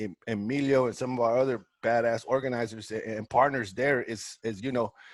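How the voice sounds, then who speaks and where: A man with an American accent speaks at medium pitch and a moderate pace, his intonation fairly even. The recording is very clean, with a silent background. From Northern California, Salinas. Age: 40s. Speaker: community organizer, board candidate. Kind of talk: candidate statement, informal. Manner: casual, halting with repeated fillers.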